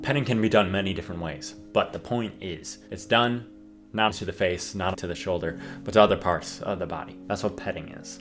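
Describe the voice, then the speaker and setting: Music plays behind a man with a very deep, low pitch and ordinary pitch variation. He moves at a fairly quick pace, with big swings in loudness. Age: 20s. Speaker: dating advice host. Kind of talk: casual talk to camera.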